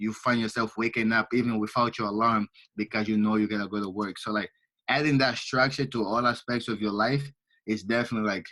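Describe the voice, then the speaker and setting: With a Portuguese accent, a man rattles along at a very fast pace in a fairly low, monotone, flat voice. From Angola. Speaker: entrepreneur and finance student. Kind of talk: casual interview.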